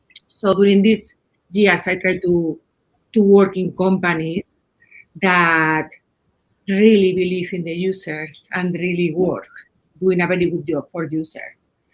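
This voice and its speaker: A woman with a Spanish accent speaks at a medium pitch and a fairly slow pace, leaving long, frequent pauses. Her intonation is monotone and flat. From Spain. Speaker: head of UI/UX design. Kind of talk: panel discussion. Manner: halting, repeats words.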